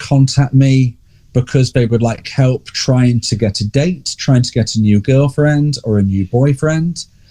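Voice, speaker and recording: In an English accent, a man speaks fairly slowly with a dark, mellow, somewhat breathy tone, the sound dry and close with no echo. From England. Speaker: relationship coach. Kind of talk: podcast interview.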